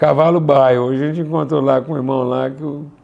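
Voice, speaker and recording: Noticeable background noise and audible room echo accompany speech whose pitch varies in an ordinary way. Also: man. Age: 60s. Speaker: spiritual teacher. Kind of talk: live online class.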